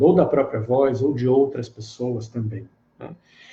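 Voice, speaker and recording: A man speaks at a fairly slow pace. His voice is somewhat breathy, with a dark, mellow tone. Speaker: therapist and meditation teacher. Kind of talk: live online lecture.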